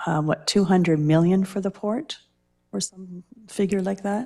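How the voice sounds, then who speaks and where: In a Canadian accent, a woman speaks at a moderate pace and medium pitch. Her tone is dark and mellow, with ordinary pitch variation. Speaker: city councillor. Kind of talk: council meeting questioning. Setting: council chamber, televised meeting.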